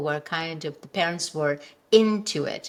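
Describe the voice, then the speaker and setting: Using lively intonation and a moderate pace, a woman with an Indian accent talks in a fairly low pitch. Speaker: functional health coach. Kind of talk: interview conversation. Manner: halting.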